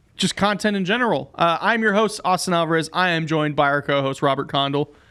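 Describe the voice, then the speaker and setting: On a very clean recording with a silent background, a man talks very fast in a high, bright, sharp voice, with very even loudness and ordinary pitch variation. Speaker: podcast host and video producer. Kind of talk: casual podcast chat. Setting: studio.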